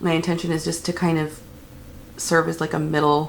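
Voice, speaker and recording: Moderate pacing from a woman with a fairly low voice, set against noticeable background noise. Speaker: beauty vlogger. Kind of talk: makeup tutorial. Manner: hesitant, many fillers.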